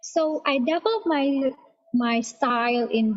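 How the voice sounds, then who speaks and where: A woman with a non-native accent speaks at a very slow pace with ordinary pitch variation. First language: not English. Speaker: creative writing student. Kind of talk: casual presentation. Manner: halting.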